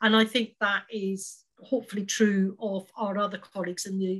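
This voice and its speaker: A woman at medium pitch with a Scottish accent, speaking at a fairly slow pace. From Scotland. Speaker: charity advice worker. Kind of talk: panel discussion.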